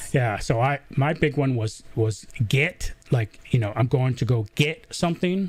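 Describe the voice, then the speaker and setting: Somewhat breathy, a man speaks fairly slowly at a medium pitch with ordinary pitch variation, very even loudness, and hardly any pauses. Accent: American. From US South, southern Georgia. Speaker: podcast host. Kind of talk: live interview.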